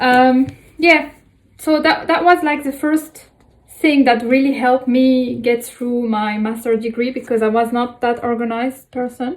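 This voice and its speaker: Speaking in a French accent, a woman uses a high pitch, fairly even intonation and a fairly slow pace. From France. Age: 20s. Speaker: student vlogger. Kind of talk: tutorial. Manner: halting, many fillers.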